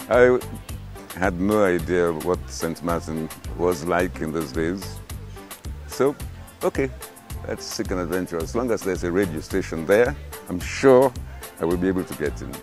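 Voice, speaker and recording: The speaker moves at a moderate pace with lively intonation and long, frequent pauses. Music plays in the background. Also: man, very deep, low pitch for a man. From Sierra Leone, West Africa. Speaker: veteran radio news broadcaster and journalist. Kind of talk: interview answer about his career.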